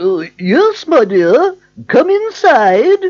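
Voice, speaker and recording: This is a put-on character voice at a high pitch. Its pitch swings very widely. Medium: read story. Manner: falsely sweet, feigned old woman.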